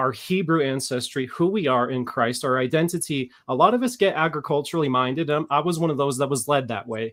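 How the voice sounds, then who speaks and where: A man talks at a fairly quick pace in a fairly high pitch with ordinary pitch variation. The recording is very clean, with a silent background. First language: Spanish. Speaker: off-grid shepherd and online prophecy teacher. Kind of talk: casual chat, panel discussion.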